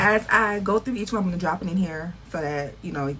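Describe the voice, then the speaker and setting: Through noticeable background noise, a woman with a fairly low pitch speaks in an animated tone at a very fast pace with lively intonation. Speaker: beauty and fashion vlogger. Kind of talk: casual vlog haul. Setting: beauty supply store, then at home. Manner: quiet in store.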